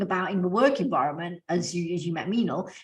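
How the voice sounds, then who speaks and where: A woman with a British accent talks at a very fast pace, with ordinary pitch variation. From England. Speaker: podcast co-host. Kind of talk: casual chat.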